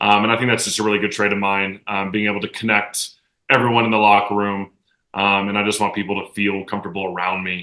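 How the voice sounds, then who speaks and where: Against a quiet background, a man talks loud and very fast at a fairly low pitch, his tone bright and sharp and his intonation monotone and flat. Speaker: professional soccer player. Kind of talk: casual chat.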